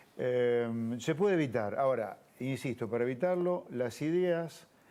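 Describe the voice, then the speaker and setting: Lively intonation from a man with an Argentine accent, a dark, mellow tone and medium pitch. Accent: Argentine Spanish (Rioplatense). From Argentina. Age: 60s. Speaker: economist and politician. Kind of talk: TV interview.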